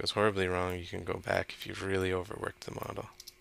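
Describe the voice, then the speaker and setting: A man mumbles at a very fast pace. His very deep, low pitch comes with a bright, sharp tone. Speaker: 3D modeling instructor. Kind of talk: tutorial. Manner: mumbling; casual, thinking aloud.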